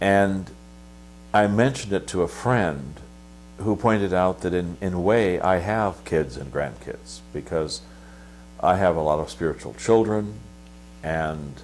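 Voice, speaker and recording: The voice swings very widely in pitch and moves at a fairly slow pace, in a Pacific Northwest accent. Long pauses come often. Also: man, very deep, low pitch for a man. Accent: General American (Pacific Northwest). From US Pacific Northwest (Washington, northern Idaho). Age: 60s. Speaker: monastic abbot. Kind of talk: interview. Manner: halting, many fillers.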